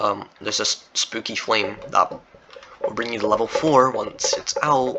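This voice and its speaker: A man with a non-native accent, fairly slow, against noticeable background noise. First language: not English. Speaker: Roblox game developer and YouTuber. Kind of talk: casual gameplay walkthrough chat. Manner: rambling, filler-heavy casual talk.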